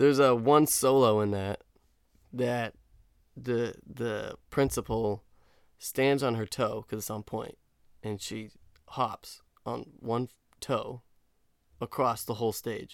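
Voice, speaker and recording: At a very slow pace, a man speaks at a medium pitch with long, frequent pauses. The recording is very clean, with a silent background. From New Hampshire, New England (Dover). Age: 20s. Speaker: recent college graduate, dancer. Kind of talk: casual chat.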